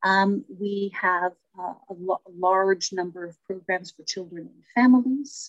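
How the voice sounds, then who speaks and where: Her pace is fairly slow, with medium pitch and ordinary pitch variation. The woman's voice sounds dry and close, with no echo. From Toronto, Little Italy. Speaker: community services director. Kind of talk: interview.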